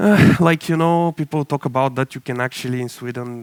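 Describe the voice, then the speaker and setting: The sound is dry and close, with no echo. A man with a Bulgarian accent speaks at a fairly high pitch. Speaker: tech startup CTO, conference speaker. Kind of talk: conference talk.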